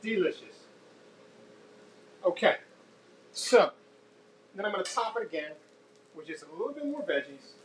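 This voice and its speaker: Against noticeable background noise, a man speaks with big swings in loudness and long, frequent pauses. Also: moderate pace. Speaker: cooking show host. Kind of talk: live cooking tutorial. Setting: home kitchen, live stream.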